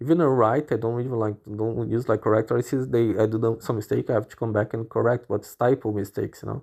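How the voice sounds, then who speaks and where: A man with a non-native accent talks at a very fast pace with hardly any pauses, his medium-pitched voice dark and mellow in tone with fairly even intonation. His loudness swings widely, against a quiet background. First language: not English. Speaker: podcaster venting on own channel. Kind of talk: casual monologue. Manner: halting, repetitive.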